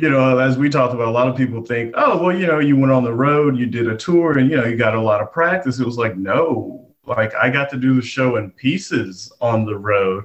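A man's normal speaking voice with an American accent, at a fairly quick pace and with hardly any pauses. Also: medium pitch for a man, ordinary pitch variation. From Texas, Gatesville. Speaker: comedian. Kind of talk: interview.

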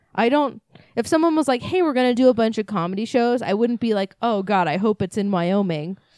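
A woman's fairly high voice has lively intonation in a very clean recording with a silent background. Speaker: podcast co-host. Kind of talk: casual comedy podcast chat.

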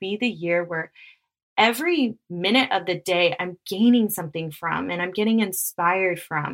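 A woman at medium pitch and moderate pace, an ordinary speaking voice with ordinary pitch variation. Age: 30s. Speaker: podcast host and wellness coach. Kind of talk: casual solo monologue.

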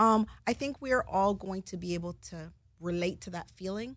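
Somewhat breathy and animated in tone, a woman speaks at a moderate pace and medium pitch with ordinary pitch variation. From Canada (Jamaican-born). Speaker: television producer. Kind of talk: interview.

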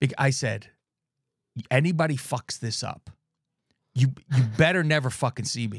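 A man's medium-pitched, somewhat breathy voice in an animated tone, with ordinary pitch variation, moderate pace, long, frequent pauses and big swings in loudness, in a dry, close sound with no echo. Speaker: podcast host. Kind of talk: casual chat. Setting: studio.

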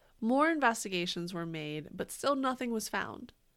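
An animated woman at a moderate pace, her pitch swinging very widely, on a very clean recording with a silent background. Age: 30s. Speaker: podcast co-host. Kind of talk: casual chat and storytelling about history.

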